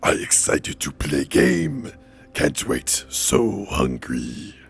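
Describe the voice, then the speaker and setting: Putting on a character voice, a man speaks very slowly in a raspy, very deep, low register. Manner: shouting, excited.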